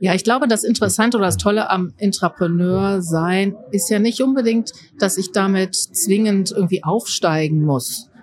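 A woman talks in a normal speaking voice at a moderate pace with ordinary pitch variation. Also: medium pitch for a woman, very even loudness. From Rhineland, Germany (Mönchengladbach). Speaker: leadership and innovation consultant. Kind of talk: interview.

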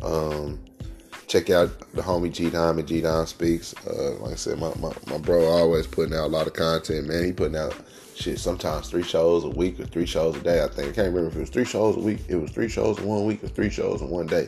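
At a fairly quick pace, the voice sounds animated, with noticeable background noise behind it. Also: man, very deep, low pitch for a man, ordinary pitch variation. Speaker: podcast host, cannabis talk. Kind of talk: casual rant, monologue. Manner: casual, profane, animated.

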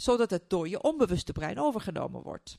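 A woman with a Turkish accent speaks in a fairly high pitch with very wide pitch swings. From Turkey. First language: Turkish (speaking Dutch). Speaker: neuroscientist and coach. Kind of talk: interview. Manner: halting.

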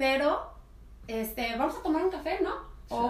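Her pitch moves through very wide swings. The woman keeps to a moderate pace. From Mexico, Colima. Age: 30s. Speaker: podcast guest. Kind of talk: casual chat.

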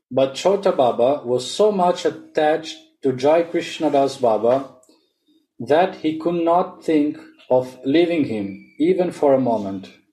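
A man with an ordinary speaking voice talks at a fairly slow pace, his fairly high pitch carried by lively intonation. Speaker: reader and discussion leader. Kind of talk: reading aloud and group discussion.

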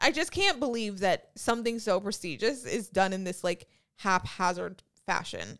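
Recorded very cleanly against a silent background, a woman at a medium pitch talks at a moderate pace with lively intonation and an animated tone. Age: 30s. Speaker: podcast co-host. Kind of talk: casual chat.

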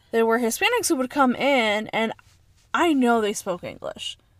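A woman speaks in a fairly high voice. Her pace is moderate. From Chicago. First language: Spanish. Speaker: podcast co-host. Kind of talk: casual chat.

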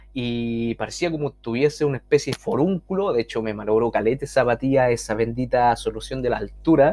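Talking at a fairly quick pace with hardly any pauses, a man uses an ordinary speaking voice at a medium pitch with ordinary pitch variation. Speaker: podcast host and social skills coach. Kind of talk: casual monologue.

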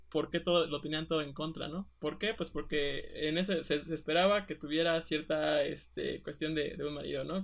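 At a moderate pace, a man speaks at a fairly high pitch. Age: 20s. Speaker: podcast co-host. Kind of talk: casual chat. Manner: halting.

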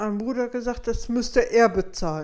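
A woman's fairly high voice carries lively intonation at a moderate pace. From Petershagen, North Rhine-Westphalia. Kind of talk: interview. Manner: halting.

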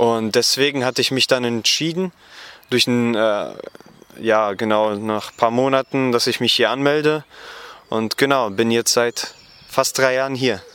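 The speaker goes at a fairly slow pace with fairly even intonation. Long, frequent pauses break up the speech. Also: man, medium pitch for a man. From western Germany, Gummersbach near Cologne. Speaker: Bible school student. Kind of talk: interview. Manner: halting, many fillers.

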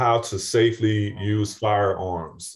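A man with an American accent and a fairly low pitch sounds somewhat breathy against a quiet background. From St. Louis, Missouri. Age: 50s. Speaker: retired firefighter and paramedic. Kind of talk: interview.

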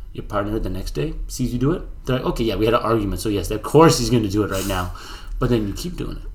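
The voice moves at a very fast pace with lively intonation and vocal fry, and audible room echo surrounds it. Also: man, fairly low pitch for a man. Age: 20s. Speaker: fitness podcast co-host. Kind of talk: casual chat.

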